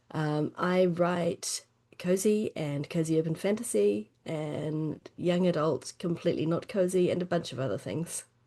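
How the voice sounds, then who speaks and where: In a New Zealand accent, a woman with a dark, mellow tone and fairly low pitch speaks fairly slowly with lively intonation. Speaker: fantasy author. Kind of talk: casual podcast chat.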